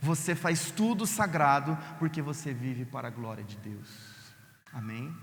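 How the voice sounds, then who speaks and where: A man speaks in a fairly high voice at a fairly slow pace, somewhat breathy, with lively intonation, big swings in loudness and audible room echo. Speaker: pastor. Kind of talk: sermon.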